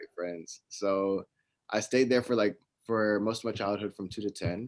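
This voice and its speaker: A man in a Texas accent speaks at a moderate pace with fairly even intonation and big swings in loudness, the sound dry and close with no echo. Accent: American, Texas. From US, Ohio and Dallas, Texas. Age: 20s. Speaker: fashion entrepreneur. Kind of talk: interview. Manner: casual, with fillers.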